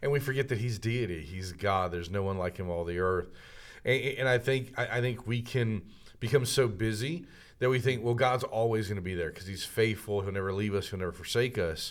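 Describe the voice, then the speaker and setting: A man talks in a normal speaking voice. His pitch is fairly low, with ordinary pitch variation. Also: fairly quick pace. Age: 30s. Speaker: minister and entrepreneur. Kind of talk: casual chat. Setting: studio.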